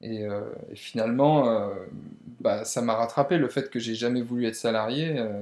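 Speaking fairly slowly, a man has a plain, everyday voice at medium pitch with fairly even intonation. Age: 30s. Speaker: entrepreneur and property investor. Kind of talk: casual interview. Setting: at the host's home.

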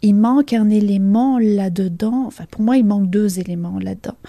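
The voice has a dark, mellow tone, somewhat breathy, in a Belgian accent. It moves at a fairly slow pace. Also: woman. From Belgium. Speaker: leadership coach. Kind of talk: interview.

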